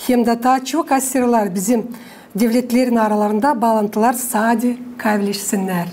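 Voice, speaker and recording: A woman speaks at a moderate pace with a fairly high pitch and fairly even intonation. Her loudness stays very even over noticeable background noise. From Gagauzia, Moldova. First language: Gagauz (speaking Turkish). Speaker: TV host. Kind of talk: interview. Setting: TV studio. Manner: formal.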